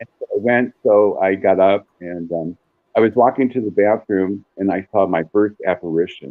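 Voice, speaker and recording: A man speaks with a fairly low pitch. There is music in the background. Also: ordinary pitch variation, moderate pace. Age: 60s. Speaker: psychic medium. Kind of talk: storytelling interview.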